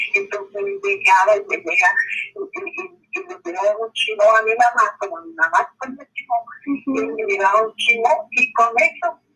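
A woman at a fairly slow pace with lively intonation, music playing in the background. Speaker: grandmother telling life story. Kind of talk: oral history interview. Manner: halting. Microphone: recording quality worse than before.

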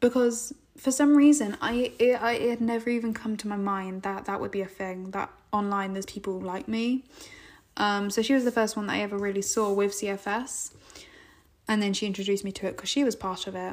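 The delivery moves at a fairly quick pace with fairly even intonation. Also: woman, medium pitch for a woman. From England. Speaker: podcast host. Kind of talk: casual monologue.

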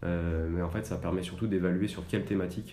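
A man's very deep, low voice with a dark, mellow tone, fairly quick pace and monotone, flat intonation, plus audible room echo. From France, Annecy (Haute-Savoie). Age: 20s. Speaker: environmental association staff member. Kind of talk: podcast interview. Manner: hesitant, many fillers.

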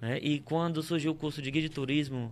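Here a man speaks at a fairly quick pace with fairly even intonation. He has an unremarkable speaking voice. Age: 30s. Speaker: tour guide. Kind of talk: casual interview. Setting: live-streamed studio podcast.

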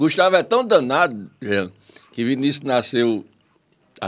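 Speaking fairly slowly, a man keeps his intonation lively. His delivery takes its time. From Viçosa, interior of Rio Grande do Norte, Brazil. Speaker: comedian. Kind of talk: casual interview chat.

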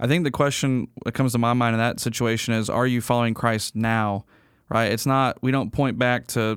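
At a moderate pace and medium pitch, a man speaks in a monotone, flat way in a very clean recording with a silent background. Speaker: pastor. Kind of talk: casual chat.

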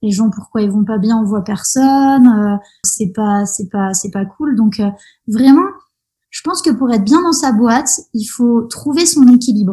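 Fairly high-pitched yet dark and mellow in tone, a woman's somewhat breathy voice moves at a fairly slow pace with lively intonation. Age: 30s. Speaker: osteopath. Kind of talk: casual interview. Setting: podcast interview.

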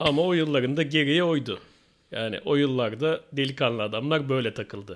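An ordinary speaking voice from a man, fairly high in pitch, moderate in pace, with ordinary pitch variation. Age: 40s. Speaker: podcast host. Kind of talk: casual chat.

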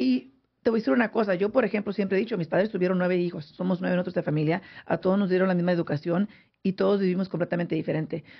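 The speech runs at a very fast pace with ordinary pitch variation. Its loudness stays very even. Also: woman, medium pitch for a woman. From San José, California. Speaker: radio host. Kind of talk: casual radio chat. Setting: studio.

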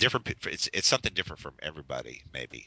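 The speech moves at a fairly quick pace. Vocal fry runs through it. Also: man. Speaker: comics editor and mentor. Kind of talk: casual chat. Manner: halting.

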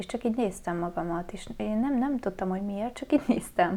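This woman's voice has a dark, mellow tone. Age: 20s. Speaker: fashion stylist. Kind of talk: casual chat.

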